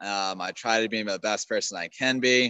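This man talks with an American accent in a normal speaking voice. His pace is fairly slow, with ordinary pitch variation. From Maryland, US. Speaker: raw-meat eater and farm hand. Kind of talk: casual chat.

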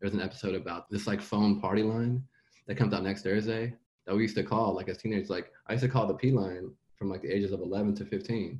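A man talks fast in a fairly low pitch, his slightly mellow tone carrying a slightly husky edge and ordinary pitch variation.

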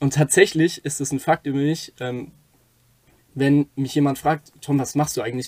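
Somewhat breathy and fairly high-pitched, a man talks at a fairly quick pace with monotone, flat intonation. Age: 20s. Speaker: podcast co-host, aerospace engineering student. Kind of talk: casual chat.

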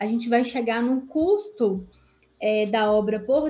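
A woman's high-pitched voice with a strong Minas Gerais accent, very slow pace and lively intonation. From Minas Gerais, Brazil. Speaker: accountant. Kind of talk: podcast interview, explaining technical topic.

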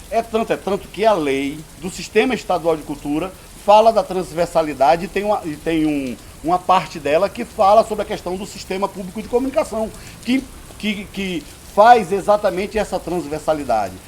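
At a moderate pace, a man with a high-pitched voice uses lively intonation over noticeable background noise. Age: 50s. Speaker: theatre director and cultural producer. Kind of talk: interview. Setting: historic house, heavy rain outside. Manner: halting, many repetitions and fillers.

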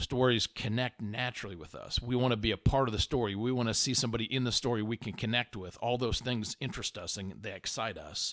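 The speaker is a man with an American accent. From Indiana, US Midwest. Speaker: podcast host, leadership coach. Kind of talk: casual monologue. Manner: conversational.

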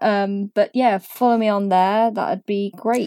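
In a British accent, a woman speaks with a dark, mellow tone at medium pitch and ordinary pitch variation, recorded dry and close with no echo on a very clean track with a silent background. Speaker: podcast guest. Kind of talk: casual chat.

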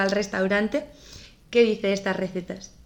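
Her pitch medium and her intonation fairly even, a woman talks in a plain, everyday voice. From Navarra, northern Spain. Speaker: podcast host. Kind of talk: interview.

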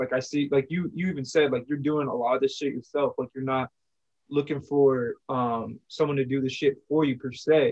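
A man talks in an unremarkable speaking voice. His pitch sits fairly high. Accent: American. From New York / New Jersey. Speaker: podcast host and beat producer. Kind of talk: casual interview.

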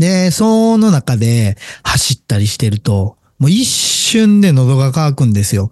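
With a dry, close sound and no echo, a man speaks at a fairly slow pace in a fairly high, dark and mellow, somewhat breathy voice, his pitch swinging very widely while his loudness stays very even. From Japan, Wakayama. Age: 40s. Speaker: business owner podcaster. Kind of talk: solo monologue. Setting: home recording. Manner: many filler pauses.

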